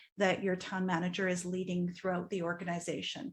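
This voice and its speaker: The recording is very clean, with a silent background. A woman with a medium pitch sounds somewhat breathy. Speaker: strategic planning consultant. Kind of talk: presentation to council. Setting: council meeting.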